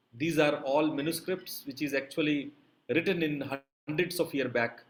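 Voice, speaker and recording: Talking at a moderate pace, a man with an unremarkable speaking voice keeps a fairly high pitch and fairly even intonation. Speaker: yoga teacher. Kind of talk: lecture.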